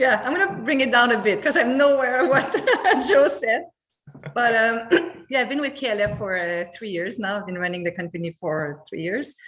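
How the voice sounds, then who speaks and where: The speaker moves at a moderate pace. Pitch swings very widely throughout. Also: woman, fairly high pitch for a woman. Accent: Quebec. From Montreal, Quebec. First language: French. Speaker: company chief operating officer. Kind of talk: livestream company interview.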